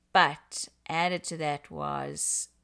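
A woman speaks with a very deep, low pitch and a South African accent. Her background is quiet. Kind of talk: casual interview on relationships and faith.

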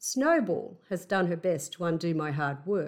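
Speaking with an Australian accent, a woman with a fairly low pitch uses lively intonation in a very clean recording with a silent background. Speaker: house sitter podcaster. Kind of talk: solo podcast monologue, personal storytelling. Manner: conversational, reflective.

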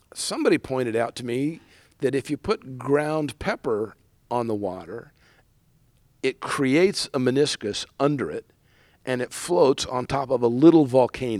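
At a moderate pace, a speaker with an American accent uses ordinary pitch variation, recorded with a dry, close sound and no echo. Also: man, medium pitch for a man, very clean recording, silent background. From US West Coast, San Diego. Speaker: sailmaker and business owner. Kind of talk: casual interview. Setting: large sailmaking workshop floor.

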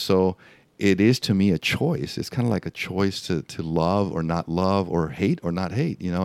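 In a Spanish accent, a man with a very deep, low pitch speaks at a moderate pace with ordinary pitch variation, the sound dry and close with no echo on a very clean recording with a silent background. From Mexico. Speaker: skydiving photographer. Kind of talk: casual interview. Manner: halting.

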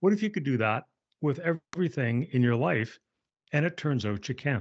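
With a slight Canadian accent, the speaker moves at a moderate pace through very wide swings in pitch. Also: man, fairly high pitch for a man. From Canada. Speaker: author and speaker. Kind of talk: podcast interview.

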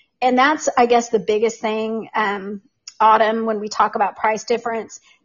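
A woman speaks in a normal speaking voice at a moderate pace, with a fairly high pitch and fairly even intonation. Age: 50s. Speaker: essential oils guest. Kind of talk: casual interview chat. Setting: online livestream.

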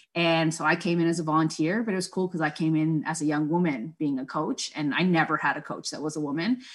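A woman talks very fast in a Toronto accent, with hardly any pauses. Her pitch is very deep and low, with ordinary pitch variation. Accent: Canadian English (Toronto). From Scarborough, Toronto, Ontario, Canada. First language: Spanish. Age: 30s. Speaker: charity program director and soccer coach. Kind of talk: interview conversation. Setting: video call.

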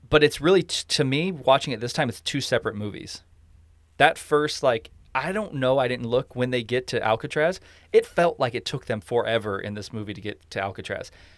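In an unremarkable speaking voice, a man talks fairly quickly at a medium pitch with lively intonation and big swings in loudness, on a very clean recording with a silent background. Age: 40s. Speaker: podcast host. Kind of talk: casual chat.

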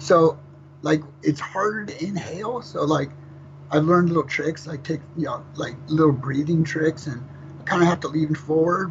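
Here a man talks at a fairly high pitch with fairly even intonation. He has an ordinary speaking voice. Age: 50s. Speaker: death metal vocalist. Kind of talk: interview. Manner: fast.

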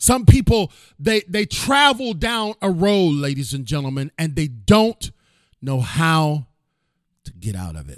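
An animated, theatrical man's voice with big swings in loudness and very wide pitch swings, fairly slow pace, dry and close with no echo. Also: fairly high pitch for a man. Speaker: podcast host and motivational speaker. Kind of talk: dramatic storytelling narration. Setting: live-streamed studio with audience. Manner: animated, theatrical, building suspense; high-energy, motivational, emphatic.

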